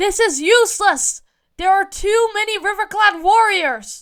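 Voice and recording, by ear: Shouting in a put-on character voice, the speaker keeps a moderate pace. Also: man, extremely high pitch for a man.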